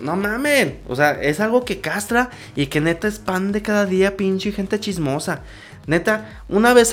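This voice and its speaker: With an animated tone and a Mexican accent, a man speaks at a high pitch. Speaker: podcast host. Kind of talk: casual monologue.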